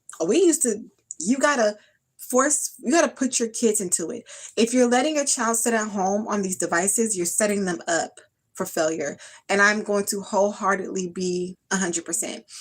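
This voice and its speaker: Her tone is animated, with lively intonation at a medium pitch. The woman keeps a moderate pace. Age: 30s. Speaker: skincare vlogger. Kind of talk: casual livestream chat.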